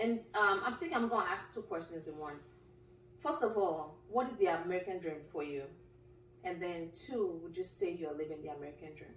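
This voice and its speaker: Over noticeable background noise and audible room echo, a woman talks at a fairly quick pace in a fairly low voice, with lively intonation and big swings in loudness. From Nigeria. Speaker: podcast host. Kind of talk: casual interview.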